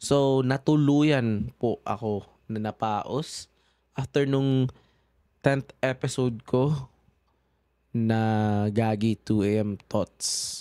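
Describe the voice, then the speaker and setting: In a very clean recording with a silent background and a dry, close sound free of echo, a man talks at a very slow pace and medium pitch with fairly even intonation. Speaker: podcast host. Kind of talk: casual chat. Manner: halting.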